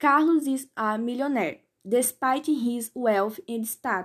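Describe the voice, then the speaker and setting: Recorded very cleanly against a silent background, a woman uses a normal speaking voice, fairly high in pitch with ordinary pitch variation. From Pernambuco, Brazil. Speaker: podcast host teaching English slang. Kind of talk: scripted tutorial.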